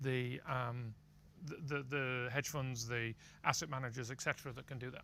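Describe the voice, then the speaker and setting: In a British accent, a man speaks at a moderate pace with a medium pitch and a bright, sharp tone. His intonation is monotone and flat, while his loudness swings widely. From UK. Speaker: prediction market executive. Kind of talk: interview.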